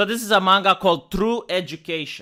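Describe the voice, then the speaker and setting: Over a very clean recording with a silent background, a man with a Romanian accent talks at a moderate pace. His tone is bright and sharp, with ordinary pitch variation. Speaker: video commentator. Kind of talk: video commentary.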